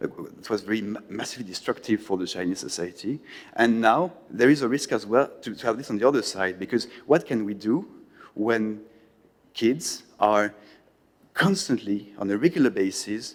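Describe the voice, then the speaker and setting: A man talks in a French accent at a moderate pace. His pitch is medium, with ordinary variation. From France. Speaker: conference panelist. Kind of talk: panel talk. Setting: conference hall with audience. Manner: halting, many repetitions.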